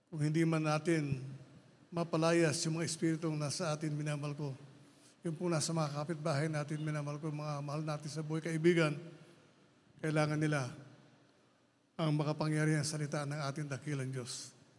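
Speaking at a fairly quick pace yet with long, frequent pauses, a man with a fairly high pitch keeps his intonation flat and monotone. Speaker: prayer leader; preacher. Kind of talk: fervent prayer and exhortation; sermon. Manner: loud, fervent, shouting commands. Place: church. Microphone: handheld.

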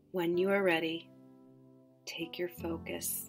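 Music plays in the background as a woman speaks at a very slow pace. Her tone is calm and soothing, and her pitch is fairly low. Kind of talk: guided chakra meditation. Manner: slow, calm, soothing.

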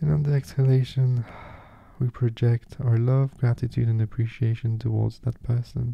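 Somewhat breathy and dark, mellow in tone, a man talks at a moderate pace with fairly even intonation and very even loudness, the sound dry with no echo over a quiet background. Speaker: meditation guide. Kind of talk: guided meditation. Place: home room.

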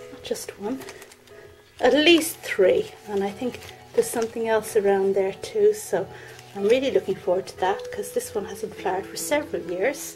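Faint music plays in the background. A woman talks at a moderate pace. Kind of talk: casual vlog chat. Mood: cheerful, delighted. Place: garden. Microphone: phone near.

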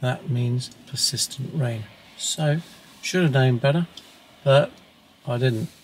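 The pitch varies in an ordinary way. Light background noise can be heard. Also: man. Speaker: wildlife photographer vlogger. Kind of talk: casual vlog chat. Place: car. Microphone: camera far.

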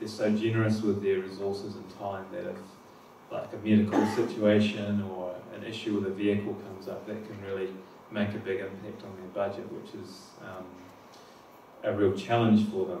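A man with a fairly low pitch speaks at a moderate pace with fairly even intonation. There is audible room echo and light background noise. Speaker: presenter. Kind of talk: conference talk. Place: hall.

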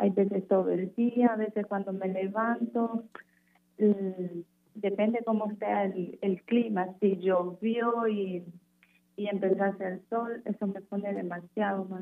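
At a very slow pace, a woman talks with medium pitch and monotone, flat intonation. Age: 20s. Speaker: radio caller. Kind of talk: phone consultation. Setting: phone call.

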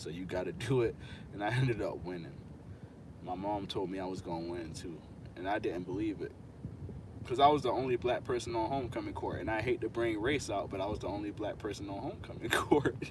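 Talking at a very fast pace, a man with an American accent has a fairly low, somewhat breathy voice with ordinary pitch variation, recorded dry with no echo but with noticeable background noise. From Florida. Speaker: lawn care YouTuber. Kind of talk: live stream casual talk. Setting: outdoors. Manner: animated. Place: car. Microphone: phone near.

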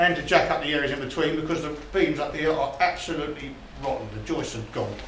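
At a very fast pace, a man talks while noticeable background noise lingers. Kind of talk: guided tour explanation. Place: empty room.

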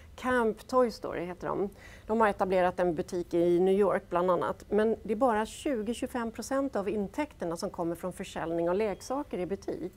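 Her medium-pitched voice shows ordinary pitch variation. The woman keeps a moderate pace with hardly any pauses. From Gothenburg, western Sweden; Sweden. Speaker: business executive; guest. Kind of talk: panel discussion. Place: studio.

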